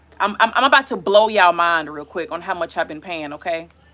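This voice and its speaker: A woman speaks loudly. Her tone is bright and sharp. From US South, South Carolina. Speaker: travel vlogger. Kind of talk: casual live stream chat. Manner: halting, many fillers.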